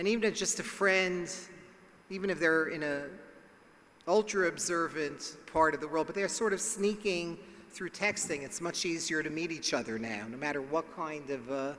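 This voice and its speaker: Speaking at a moderate pace, this man has a fairly high pitch with ordinary pitch variation. Audible room echo surrounds his voice. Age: 60s. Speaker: psychologist and speaker. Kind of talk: lecture.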